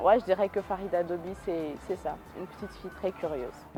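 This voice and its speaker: With music in the background, a woman talks at a fairly quick pace in a medium-pitched voice with ordinary pitch variation. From Niger, Niamey. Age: 20s. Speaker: hydrogeologist and researcher. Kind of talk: interview testimony. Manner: frequent hesitations.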